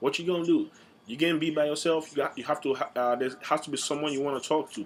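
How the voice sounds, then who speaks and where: In an American accent, a man talks at a very fast pace with fairly even intonation. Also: fairly high pitch for a man. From Nigeria. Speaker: student. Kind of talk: class speech. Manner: halting, with repetitions and fillers.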